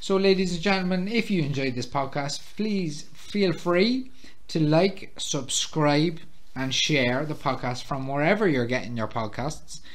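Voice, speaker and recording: The speaker has an Irish accent. The intonation is lively. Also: man, fairly high pitch for a man. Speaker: podcast host. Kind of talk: casual chat among friends.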